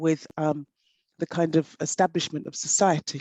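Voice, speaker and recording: Speaking in an English accent, a woman uses a fairly low pitch and a dark, mellow tone. Her pace is moderate, and the sound is dry and close with no echo. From south-west England (Devon, Somerset). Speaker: panel speaker on identity. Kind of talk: panel discussion talk.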